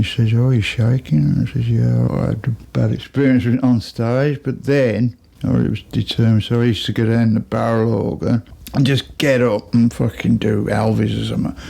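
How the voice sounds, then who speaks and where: Over noticeable background noise, a man speaks with a Birmingham accent. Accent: Birmingham (Brummie) English. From Birmingham, England. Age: 60s. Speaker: musician. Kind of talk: interview. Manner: casual, rambling storytelling.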